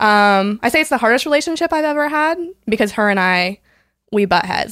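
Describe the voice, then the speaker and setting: Recorded very cleanly with a silent background and a dry, close sound with no echo, a woman with an ordinary speaking voice and an American accent talks at a moderate pace with lively intonation. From US West Coast, San Diego. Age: 20s. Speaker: foster and adoptive parent. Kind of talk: casual chat.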